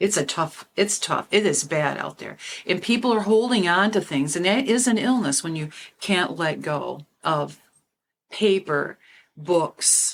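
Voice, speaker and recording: A woman with a plain, everyday voice, fairly low in pitch and lively in intonation, speaking at a fairly slow pace on a very clean recording with a silent background. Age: 60s. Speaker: podcast host and animal law officer. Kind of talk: panel discussion.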